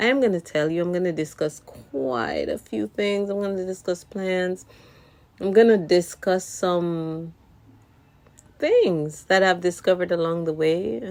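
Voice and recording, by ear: A woman with a non-native accent speaks at a fairly slow pace, her fairly low pitch showing ordinary variation. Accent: noticeable non-native.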